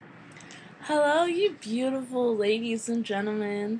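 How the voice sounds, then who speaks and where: Somewhat breathy and playful in tone, a woman speaks very slowly with lively intonation. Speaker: digital art tutorial maker. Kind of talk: software tutorial voiceover. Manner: hesitant, frequent pauses; casual, playful.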